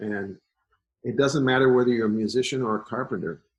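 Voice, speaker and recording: A plain, everyday voice from a man, medium in pitch with ordinary variation, at a fairly quick pace. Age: 60s. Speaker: folk musician. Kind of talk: interview.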